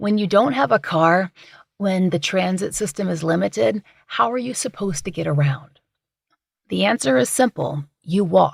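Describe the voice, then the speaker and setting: A woman with a fairly low pitch and vocal fry swings her pitch very widely, in a dry, close sound with no echo. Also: moderate pace. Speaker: true crime podcast host. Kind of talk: true crime podcast narration.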